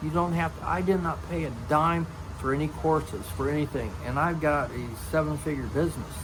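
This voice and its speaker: Noticeable noise behind a man talking at a moderate rate. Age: 50s. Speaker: retired Army Special Forces veteran. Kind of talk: casual talk to camera. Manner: blunt, plain-spoken.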